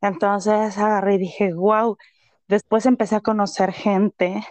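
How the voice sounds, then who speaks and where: A woman talks at a very slow pace in a flat, monotone voice. The sound is dry and close with no echo, over a quiet background. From Mexico, Tlaxcala. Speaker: entrepreneur. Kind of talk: interview. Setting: remote call.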